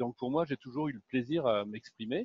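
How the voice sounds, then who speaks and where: A man with a medium pitch and ordinary pitch variation talks at a moderate pace. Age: 60s. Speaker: happiness coach. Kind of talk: interview. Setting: live video stream. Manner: halting, many fillers.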